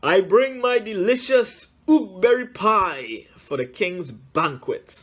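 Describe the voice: Putting on a character voice, a man speaks slowly, pitched high for a man, with a fairly bright tone and lively intonation.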